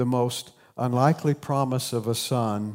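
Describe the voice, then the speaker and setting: A man with a southern Ohio accent is heard on a very clean recording with a silent background. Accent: Appalachian southern Ohio, noticeable. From southern Ohio, Appalachian. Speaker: pastor. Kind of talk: sermon. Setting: church.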